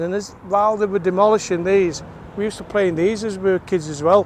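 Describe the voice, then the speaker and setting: A man with a South Yorkshire accent, high-pitched, with fairly even intonation, amid noticeable background noise. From South Yorkshire (Rotherham area). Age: 60s. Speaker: vlogger. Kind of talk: walking vlog. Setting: outdoors. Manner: casual, halting.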